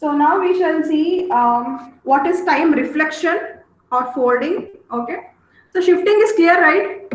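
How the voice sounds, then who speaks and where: A woman's extremely high-pitched voice with lively intonation, at a fairly slow pace, amid audible room echo. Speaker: teacher. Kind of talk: lecture.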